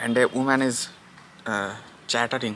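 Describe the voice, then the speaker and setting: Noticeable background noise runs under a man with a Bengali accent. His medium-pitched voice is monotone, with flat intonation. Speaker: vlogger. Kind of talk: casual vlog. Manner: halting.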